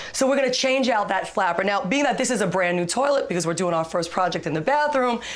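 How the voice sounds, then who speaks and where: A woman with an American accent and medium pitch talks very fast with lively intonation, very even loudness and hardly any pauses, over noticeable background noise and audible room echo. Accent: New York accent, watered down. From Brooklyn, New York. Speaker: home repair expert. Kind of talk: TV segment tutorial.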